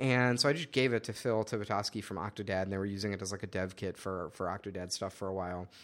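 A man with a fairly low pitch and ordinary pitch variation talks at a very fast pace with hardly any pauses in a very clean recording against a silent background. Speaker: podcast host. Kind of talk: casual chat.

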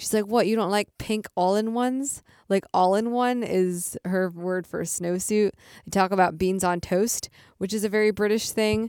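An American accent comes through as a woman talks at a medium pitch and a moderate pace in an animated tone. The sound is dry and close, with no echo. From Michigan, US. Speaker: podcast co-host. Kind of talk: casual chat. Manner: animated, laughing often.

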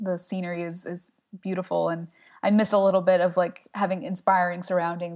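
This woman has an American accent, a fairly low pitch and a monotone, flat intonation. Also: fairly quick pace. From South Jersey, US. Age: 20s. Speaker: web designer. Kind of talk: casual interview.

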